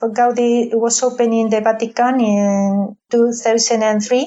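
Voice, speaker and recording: A woman speaks with a Spanish accent. Her intonation stays fairly even. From Spain, Madrid. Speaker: advocate for a beatification cause. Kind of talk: interview. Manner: halting, with many fillers.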